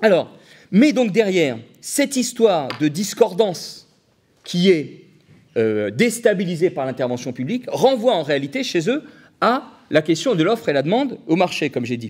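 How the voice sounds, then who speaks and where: Loud and animated, a man speaks at a fairly slow pace in a high pitch with very wide pitch swings, captured on a very clean recording with a silent background. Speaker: economist lecturer. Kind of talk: public lecture. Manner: animated, hesitant with fillers.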